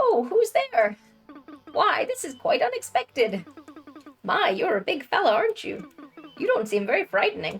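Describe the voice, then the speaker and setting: Faint music plays behind a woman using a put-on character voice. Her pitch is high. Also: moderate pace. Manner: polite and surprised.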